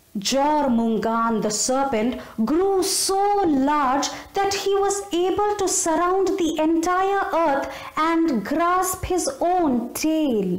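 At a very slow pace, a woman with an extremely high pitch makes very wide pitch swings while keeping very even loudness, with audible room echo. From India. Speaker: storyteller. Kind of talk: storytelling narration. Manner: animated. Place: home room. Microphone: phone near.

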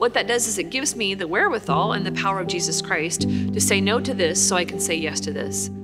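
A woman talks at a very fast pace. Loud music plays behind her. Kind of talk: spiritual teaching talk. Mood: warm, earnest. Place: church.

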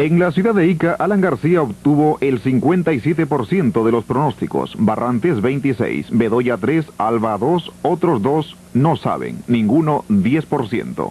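A man speaks at a very slow pace with hardly any pauses and very even loudness. His fairly high voice has lively intonation. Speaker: news reporter presenting survey results. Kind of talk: 1985 TV news broadcast, reading poll figures city by city. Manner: brisk, formal, rattling off numbers.

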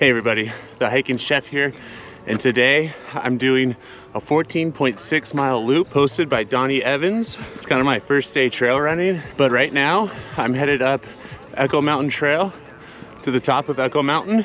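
At a moderate pace, a man talks in a dry sound with no echo and light background noise. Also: ordinary pitch variation. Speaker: hiking vlogger. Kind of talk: casual vlog chat. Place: open country. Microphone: phone near.

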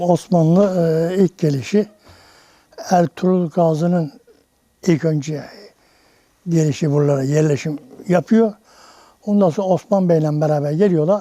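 A man speaks with a dark, mellow tone at a high pitch. His intonation is fairly even, broken by long, frequent pauses. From Cumalıkızık village, Bursa, Turkey. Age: 80s+. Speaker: elderly village native telling local history. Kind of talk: interview answer.

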